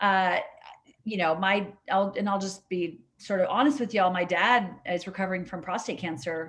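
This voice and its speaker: With an American accent, a woman speaks at a fairly quick pace and medium pitch, with ordinary pitch variation over a quiet background. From California (Sierra Nevada). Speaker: state legislator. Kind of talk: virtual town hall Q&A. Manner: fast; animated.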